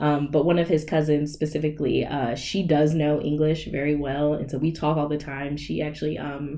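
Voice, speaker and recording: A woman's very deep, low voice with a slight Southern US accent, monotone, flat intonation, a moderate pace and hardly any pauses. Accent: slight Southern twang. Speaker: podcast guest. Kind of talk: casual chat.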